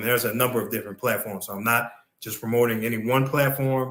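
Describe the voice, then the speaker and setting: Here is a man with a normal speaking voice. His medium pitch rides on fairly even intonation. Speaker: crypto podcast co-host. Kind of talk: casual podcast discussion.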